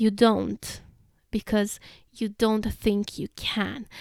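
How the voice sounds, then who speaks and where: A woman with a Russian accent speaks at a fairly high pitch. The recording is very clean, with a silent background and a dry, close sound with no echo. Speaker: podcaster reading own blog. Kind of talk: reading aloud.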